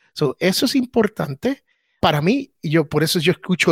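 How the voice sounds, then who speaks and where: Animated and full of lively intonation, a man's high-pitched voice comes through a very clean recording with a silent background and a dry, close sound with no echo. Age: old. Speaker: podcast host and former radio broadcaster. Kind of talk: casual chat.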